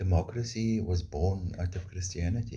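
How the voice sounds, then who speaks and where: A man's very deep, low voice, dark and mellow in tone and somewhat breathy, with fairly even intonation at a fairly slow pace. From South Africa. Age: 60s. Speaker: vlogger. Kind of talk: opinion monologue.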